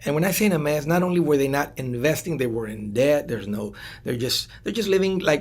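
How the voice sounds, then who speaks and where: With a Spanish accent, a man speaks at a very fast pace with fairly high pitch. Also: lively intonation. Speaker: radio host and financial advisor. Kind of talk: interview. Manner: halting, with frequent repetitions.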